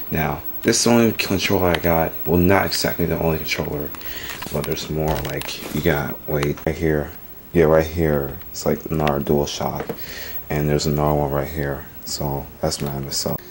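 Noticeable background noise sits behind a man's very deep, low voice. He speaks at a moderate pace. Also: fairly even intonation. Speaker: gamer showing his setup. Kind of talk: casual vlog chat. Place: home room. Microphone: phone near.

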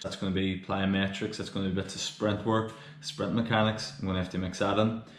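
A man's fairly low voice at a fairly quick pace, fairly even in intonation, with audible room echo and light background noise. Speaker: strength coach. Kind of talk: tutorial. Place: home room. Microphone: phone near.

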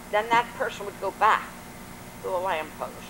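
Noticeable background noise sits under a woman's voice. She has an American accent and speaks at a moderate pace with fairly even intonation. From Washington D.C. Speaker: grandmother telling oral history. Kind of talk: oral history interview answer. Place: garden.

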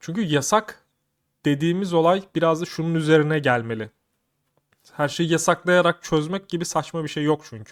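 This man has a fairly high pitch and an animated tone, with ordinary pitch variation at a moderate pace. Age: 30s. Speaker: YouTuber. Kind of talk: casual vlog commentary.

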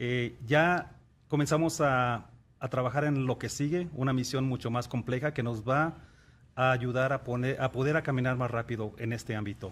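A man's voice at medium pitch, with fairly even intonation and a moderate pace. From Mexico. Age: 50s. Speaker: NASA engineer; interview guest. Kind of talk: TV interview. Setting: studio. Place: studio. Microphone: studio mic.

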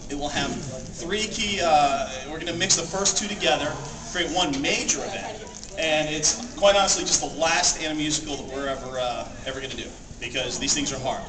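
Over noticeable background noise, a man speaks at a moderate pace. His pitch is fairly high, with ordinary variation. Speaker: convention panel presenter. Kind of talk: live panel talk to audience. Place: hall. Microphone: camera far.

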